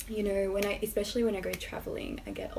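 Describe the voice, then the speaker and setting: A woman is talking in a space with audible room echo and noticeable background noise. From Australia. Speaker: YouTube lifestyle vlogger. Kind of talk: casual vlog talk to camera.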